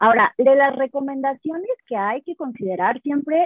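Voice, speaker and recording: With lively intonation, a woman speaks at a high pitch and a moderate pace. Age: 30s. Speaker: vegan sports nutritionist. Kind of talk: interview. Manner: halting.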